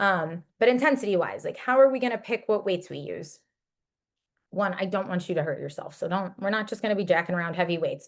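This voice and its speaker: A woman's medium-pitched voice at a fairly quick pace, with ordinary pitch variation, over a quiet background. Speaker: fitness coach. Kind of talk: fitness webinar talk. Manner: fast; animated.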